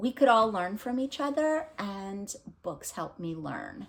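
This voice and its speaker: Very slow speech with a non-native accent and very wide pitch swings comes through on a very clean recording with a silent background. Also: woman. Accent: foreign accent, noticeable. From abroad, immigrated at thirteen. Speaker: book vlogger. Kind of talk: casual vlog talk. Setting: home recording, unedited. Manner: casual, hesitant with many fillers.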